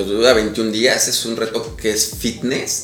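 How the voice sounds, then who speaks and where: There is audible room echo and noticeable background noise. A man speaks at a fairly slow pace. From Mexico City, with years in Pachuca, Hidalgo. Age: 30s. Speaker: public relations company CEO. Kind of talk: casual chat.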